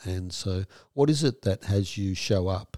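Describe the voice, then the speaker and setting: Speaking with an Australian accent, a man has a fairly low pitch and a dark, mellow tone at a fairly slow pace. The sound is dry and close with no echo, on a very clean recording with a silent background. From Western Australia. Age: 60s. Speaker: trauma therapist and podcast host. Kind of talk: casual interview chat.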